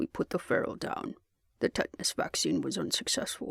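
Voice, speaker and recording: This man puts on a gruff character voice at an extremely high pitch. He talks at a fairly quick pace. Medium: read story. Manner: blunt, practical.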